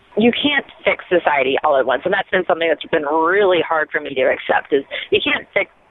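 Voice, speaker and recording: Noticeable background noise accompanies a woman who talks at a fairly quick pace with very wide pitch swings. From rural US Midwest. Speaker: rocket scientist and YouTube host. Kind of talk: interview.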